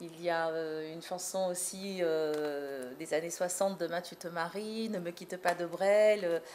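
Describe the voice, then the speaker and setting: Loudness swings widely while intonation stays fairly even. The pace is fairly slow, with noticeable background noise. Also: woman, fairly low pitch for a woman. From France, North African heritage. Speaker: singer. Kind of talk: interview. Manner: hesitant, many repetitions and fillers.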